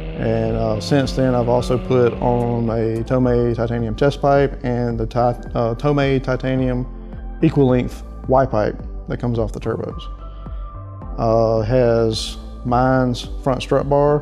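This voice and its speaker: A man talks at a fairly slow pace as faint music sounds in the background. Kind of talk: interview answer. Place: office.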